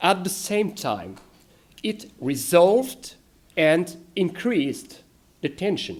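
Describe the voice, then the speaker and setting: With a strong French accent, a man speaks at a high pitch, making very wide pitch swings. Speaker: philosophy lecturer. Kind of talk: conference lecture reading. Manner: hesitant, many fillers.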